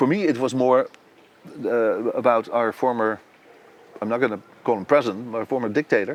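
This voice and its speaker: Man with a Dutch accent, medium pitch with ordinary variation, fairly quick pace broken by long, frequent pauses. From Netherlands. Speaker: composer and conductor. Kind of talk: interview. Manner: halting.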